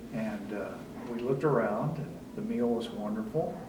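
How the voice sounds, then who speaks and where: With lively intonation, a man talks amid audible room echo and noticeable background noise. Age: 70s. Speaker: retired resident. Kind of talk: interview testimony. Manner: conversational with fillers.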